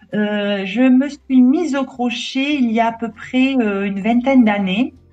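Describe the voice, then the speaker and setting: A woman speaks at a fairly slow pace in a high voice with ordinary pitch variation, with music playing in the background. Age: 60s. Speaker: crochet hobbyist interviewee. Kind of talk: interview. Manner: hesitant, many fillers.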